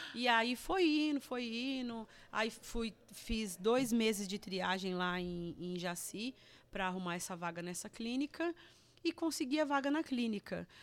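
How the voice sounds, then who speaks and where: The speaker moves at a fairly slow pace while the pitch swings very widely. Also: woman, fairly high pitch for a woman. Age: 40s. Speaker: churchgoer, recovered drug addict. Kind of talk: testimony. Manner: halting, repetitive.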